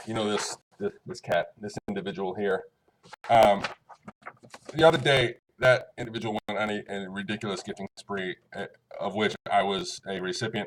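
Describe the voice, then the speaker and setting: A man at medium pitch, with lively intonation, big swings in loudness, long and frequent pauses, and a dry, close sound with no echo. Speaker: online community member thanking a gift giver. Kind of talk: casual thank-you video. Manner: fast; rambling, hesitant with many fillers.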